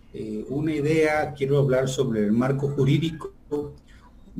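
Very slow, somewhat breathy speech in a dark, mellow tone with ordinary pitch variation. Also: man. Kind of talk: lecture. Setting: video call.

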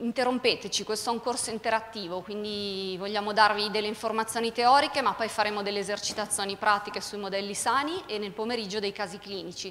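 Light background noise sits behind a woman with a fairly high pitch and ordinary pitch variation. She has an unremarkable speaking voice. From northern Italy (Milan); Italy. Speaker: emergency physician, course director; course instructor. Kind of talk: conference introduction. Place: hall. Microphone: handheld.

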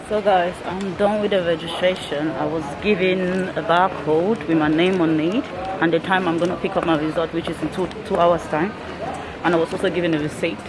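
Noticeable background noise is present. Over it, a woman speaks at a fairly quick pace. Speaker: travel vlogger. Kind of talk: casual vlog chat. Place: hall. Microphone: phone near.

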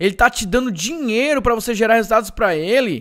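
A man speaks at a moderate pace in a high pitch. His tone is animated and his intonation lively. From Brazil, Ceará. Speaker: digital marketing entrepreneur and course seller. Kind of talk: live webinar sales pitch. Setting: online live stream.

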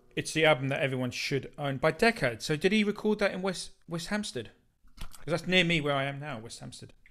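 A man with an Essex accent, fairly high pitch, very fast pace, a bright, sharp tone and lively intonation. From southeast England. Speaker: music channel host. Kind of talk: casual chat. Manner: halting.

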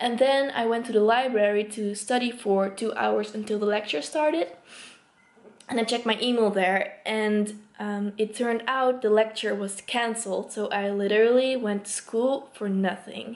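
A woman talks at a moderate pace. Her intonation stays fairly even. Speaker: student vlogger. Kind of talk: casual vlog chat. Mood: frustrated, a bit laughing. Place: home room. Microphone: phone near.

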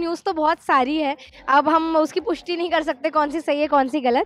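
A fairly quick pace in a dry sound with no echo. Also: woman. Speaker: actress. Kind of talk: interview. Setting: at an event. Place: home room. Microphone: handheld.

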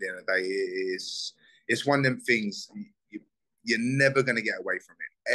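Against a quiet background, a man speaks at a moderate pace in a South London accent. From Southeast London, England. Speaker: bare knuckle fighter; guest. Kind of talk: casual interview. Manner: animated. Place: home room. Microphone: video call.

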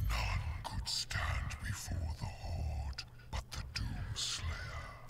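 Speaking at a very slow pace, a man performs a put-on character voice. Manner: menacing.

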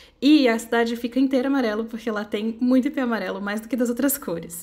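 At a fairly quick pace, a woman speaks with an ordinary speaking voice. Her pitch is fairly high and her intonation fairly even. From Brasília, Brazil. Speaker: amigurumi crochet designer. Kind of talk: personal reflective narration with product promo. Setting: at home.

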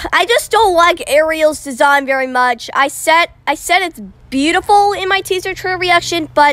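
Her tone bright and sharp, a woman talks at a fairly slow pace with ordinary pitch variation in a dry sound with no echo. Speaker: trailer reactor. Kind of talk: casual vlog chat. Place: street.

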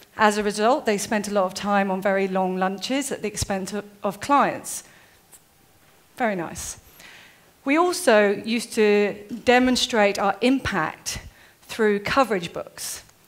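With long, frequent pauses, a woman speaks at a fairly slow pace and with ordinary pitch variation. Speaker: conference speaker. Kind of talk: lecture. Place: stage.

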